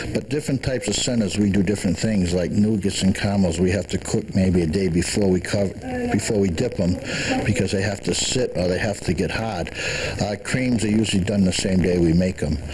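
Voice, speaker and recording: A plain, everyday voice moves at a fairly quick pace with ordinary pitch variation. There is light background noise. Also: man, fairly low pitch for a man. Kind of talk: interview answer. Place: shop. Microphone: handheld.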